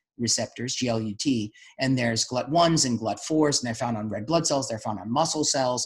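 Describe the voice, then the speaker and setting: Fairly quick, somewhat breathy speech from a man with an American accent at medium pitch. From New York City. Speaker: doctor and podcast host. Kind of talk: podcast interview discussion.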